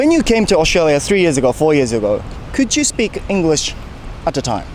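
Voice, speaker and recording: A man with a slight Japanese accent talks in a fairly high voice at a fairly quick pace, his pitch swinging very widely. His loudness stays very even, and the background noise is noticeable. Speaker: YouTuber interviewing people on the street. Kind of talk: street interview. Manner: casual, chatty.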